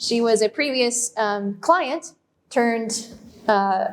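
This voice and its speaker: Woman's voice, fairly high-pitched, with ordinary pitch variation. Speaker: dog trainer. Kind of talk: public talk. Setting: library room with audience. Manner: loud.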